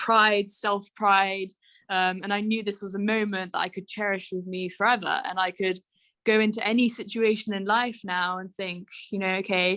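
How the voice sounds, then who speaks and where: In a very clean recording with a silent background, a woman with a British accent speaks at a moderate pace, her medium-pitched voice bright and sharp in tone and her intonation monotone and flat. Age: 20s. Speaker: mountaineer. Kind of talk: interview. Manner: frequent fillers (um, you know).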